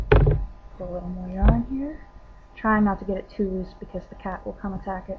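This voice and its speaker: With noticeable background noise around her, a woman speaks at a medium pitch that moves in an ordinary way. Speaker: crafter demonstrating crochet. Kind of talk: tutorial. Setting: home webcam recording. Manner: casual, with hesitations.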